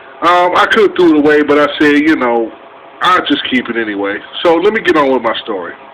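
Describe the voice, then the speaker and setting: Intonation is lively throughout. Background noise is noticeable. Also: man. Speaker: vlogger. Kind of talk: casual storytelling vlog.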